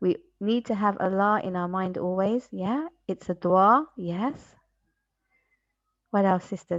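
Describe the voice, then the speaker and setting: Against a quiet background, a woman speaks at medium pitch with ordinary pitch variation, moving at a fairly slow pace broken by long, frequent pauses. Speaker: life coach. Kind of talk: online workshop. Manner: animated; loud. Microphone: faint and echoey, then mic brought closer.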